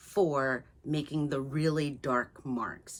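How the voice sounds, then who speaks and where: Speaking very slowly, the woman has a very deep, low voice. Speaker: artist, painter. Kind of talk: art tutorial talk to camera. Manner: casual, friendly, hesitant with many fillers.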